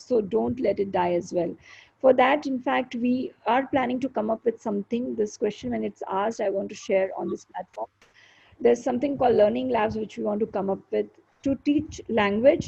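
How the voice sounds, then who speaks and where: With an Indian accent, a woman speaks in a dark, mellow tone with vocal fry and a fairly high pitch. Her intonation is lively and her pace moderate. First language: Hindi. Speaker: show host and poet. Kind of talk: live interview chat.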